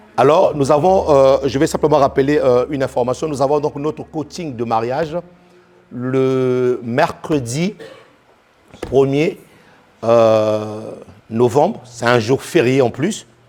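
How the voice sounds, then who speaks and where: Over noticeable background noise, a man with a medium-pitched voice speaks very slowly with ordinary pitch variation and long, frequent pauses. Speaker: pastor. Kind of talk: sermon. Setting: church. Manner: repetitive, halting.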